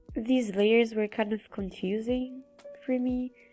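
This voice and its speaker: Music plays in the background as a woman talks at a fairly high pitch. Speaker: digital artist. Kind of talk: casual speedpaint commentary. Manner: casual, rambling.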